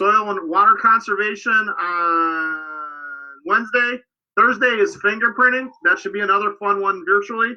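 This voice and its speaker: Loud and high-pitched, a man speaks with ordinary pitch variation. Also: moderate pace. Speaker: scouting program staff. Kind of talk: livestream program update. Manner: animated.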